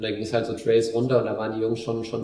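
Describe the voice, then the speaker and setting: Very fast and monotone, a man speaks at a medium pitch with flat intonation. Room echo is audible, along with noticeable background noise. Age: 30s. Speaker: amateur ultrarunner. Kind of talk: casual chat. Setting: living room at home. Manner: hesitant with many fillers.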